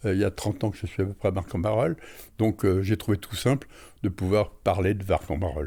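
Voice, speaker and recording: A man speaks fairly quickly at a fairly low pitch, with ordinary pitch variation and a dark, mellow, somewhat breathy tone. The recording is very clean, with a silent background. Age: 80s+. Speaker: retired amateur author and painter. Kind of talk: interview. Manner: hesitant, with fillers.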